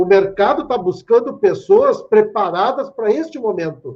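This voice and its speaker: An extremely high-pitched man with lively intonation. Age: 50s. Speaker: speaker at a tech conference. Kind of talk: lecture. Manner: animated.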